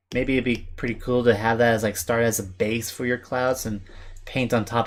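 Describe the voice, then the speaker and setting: A man mumbles at medium pitch and a moderate pace on a very clean recording with a silent background. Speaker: artist streamer. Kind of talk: casual live stream chat while drawing. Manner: mumbling.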